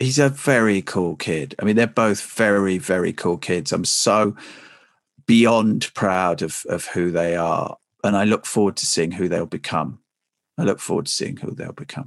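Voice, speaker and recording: Against a quiet background, a man speaks in a southern English accent. His pitch is fairly low and his intonation lively. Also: moderate pace. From England, Essex. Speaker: broadcaster and author. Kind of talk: interview.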